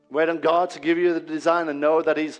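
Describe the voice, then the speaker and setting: The tone is animated. The pace is fairly quick. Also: man. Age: 40s. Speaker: pastor. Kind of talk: sermon.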